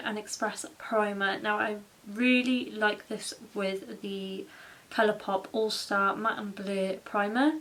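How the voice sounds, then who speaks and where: At a very slow pace and with ordinary pitch variation, the speaker talks in a British accent over noticeable background noise. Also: woman. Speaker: makeup vlogger. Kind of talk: tutorial. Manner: casual, chatty.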